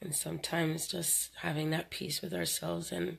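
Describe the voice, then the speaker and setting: At a moderate pace, a woman speaks with vocal fry. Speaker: spiritual channeler. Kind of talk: live stream talk. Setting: live video stream.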